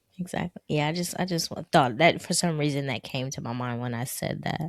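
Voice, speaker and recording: A woman at a fairly quick pace, in a dry, close sound with no echo. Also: ordinary pitch variation, very clean recording, silent background. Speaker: podcast co-host. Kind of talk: casual chat. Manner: low energy, even.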